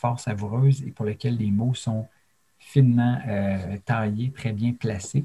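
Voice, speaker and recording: Speaking at a fairly slow pace, a man has a somewhat breathy voice with a dark, mellow tone, medium pitch and fairly even intonation. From Quebec, Abitibi-Témiscamingue. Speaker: storyteller. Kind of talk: interview. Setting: remote video call.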